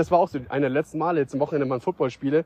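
A man with ordinary pitch variation. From Bavaria, Starnberg area. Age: 20s. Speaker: podcaster. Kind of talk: casual monologue. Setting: outdoors. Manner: halting, many fillers.

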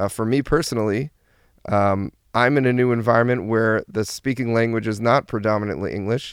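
A New Jersey accent with fairly even intonation, in dry, close sound with no echo on a very clean recording with a silent background. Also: man, medium pitch for a man. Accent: New Jersey American English. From US Northeast (New Jersey). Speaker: therapist and brand strategist. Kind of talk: interview. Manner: frequent fillers and hesitations.

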